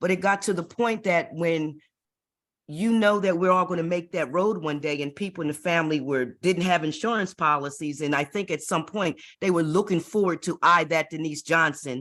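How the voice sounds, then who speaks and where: A woman with an unremarkable speaking voice talks at a moderate pace with ordinary pitch variation. Her pitch is fairly low. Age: 60s. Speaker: retired network marketer. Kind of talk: personal testimony on group call.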